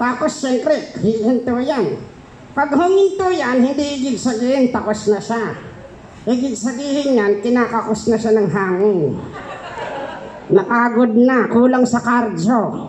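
A cartoonish character voice at a fairly high pitch moves at a fairly slow pace. Clear background noise sits behind it. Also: female-sounding voice. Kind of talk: comedy puppet show.

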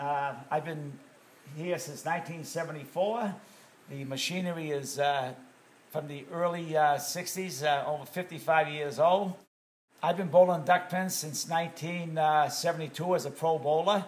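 Very slowly, a voice with an American accent speaks with fairly even intonation. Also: man, fairly high pitch for a man. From Massachusetts, US. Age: 70s. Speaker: bowling alley owner, retired firefighter. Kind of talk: interview. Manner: halting. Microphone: phone near.

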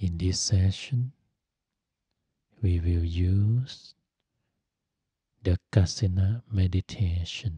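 Soft-spoken and calm in tone, a man with a very deep, low pitch and a dark, mellow, somewhat breathy voice talks at a very slow pace with long, frequent pauses and ordinary pitch variation, the sound dry with no echo over a quiet background. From Thailand. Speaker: Buddhist monk and meditation teacher. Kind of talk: guided meditation. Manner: slow, calm, soft-spoken. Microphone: studio mic.

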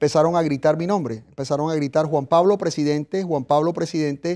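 Over a quiet background, a man with a high pitch and a dark, mellow tone talks at a moderate pace. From Colombia, Caribbean coast (Arjona, Bolívar); Colombia. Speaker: former city councilor, political refugee; interview guest, former mayor. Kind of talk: interview. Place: studio. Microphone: lapel.

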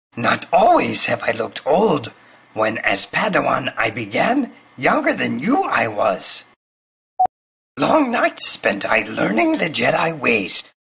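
Using a cartoonish character voice, a man talks at a fairly slow pace with very even loudness. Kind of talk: comic impression of famous film character. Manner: inverted word order, wise, patient.

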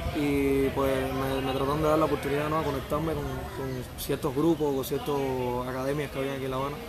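With noticeable background noise behind him, a man speaks at a fairly high pitch. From Ciego de Ávila, Cuba; Cuba. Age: 20s. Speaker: singer and songwriter; interviewee. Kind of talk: interview. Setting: outdoor bar terrace. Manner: halting. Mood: relaxed, reflective.

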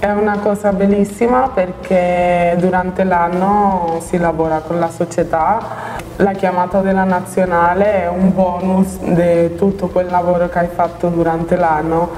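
Over light background noise, a woman speaks in a monotone, flat way at a fairly slow pace, her fairly low voice holding very even loudness. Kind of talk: interview answer. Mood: calm, reflective. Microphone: lapel.

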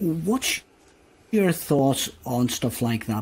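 This man's voice is somewhat breathy, with a dark, mellow tone at a medium pitch. He speaks at a fairly slow pace. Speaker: podcast host. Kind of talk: casual interview conversation.

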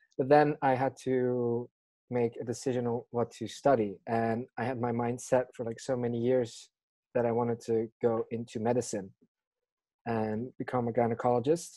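A man's dark, mellow tone in monotone, flat intonation, dry with no echo, against a quiet background. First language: not English. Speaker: podcast co-host. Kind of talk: casual chat. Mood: relaxed, slightly amused. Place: home room. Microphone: video call.

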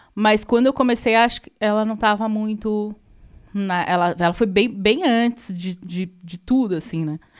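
Over a quiet background, a woman talks at a fairly high pitch with ordinary pitch variation. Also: moderate pace, big swings in loudness. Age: 40s. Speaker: musician and podcast co-host; podcast co-host. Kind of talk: casual chat. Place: home room. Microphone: studio mic.

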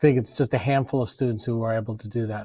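Over a quiet background, a man talks with fairly even intonation. His tone is dark and mellow, and the sound is dry with no echo. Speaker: professor and event moderator. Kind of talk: interview. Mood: warm, complimentary. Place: classroom. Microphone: lapel.

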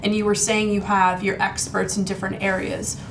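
A woman talks at a fairly quick pace. Noticeable background noise can be heard. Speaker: talk show host; real estate broker. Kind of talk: interview question. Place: office.

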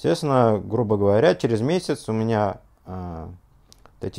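Against a quiet background, a man speaks with a dark, mellow tone and lively intonation. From Russia, Ufa (Bashkortostan); Bashkortostan, Russia. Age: 30s. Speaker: scientist giving product testimonial. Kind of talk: testimony. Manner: halting, many filler sounds. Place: home room.

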